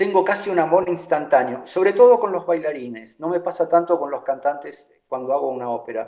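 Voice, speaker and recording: A man with a high voice talks at a fairly quick clip, his intonation lively and his speech almost free of pauses. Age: 60s. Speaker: choreographer. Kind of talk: interview.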